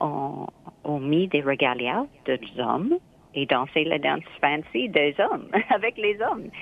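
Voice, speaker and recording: A woman speaks very slowly in a very deep, low pitch, leaving long, frequent pauses. Her intonation is lively. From Nova Scotia, Canada (Mohawk, born in Kahnawake). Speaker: dancer and choreographer. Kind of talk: interview.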